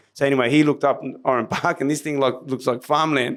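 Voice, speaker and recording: This man talks at a very fast pace with an Australian accent. His pitch is fairly high. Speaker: martial arts instructor and business owner. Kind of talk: interview storytelling. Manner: animated.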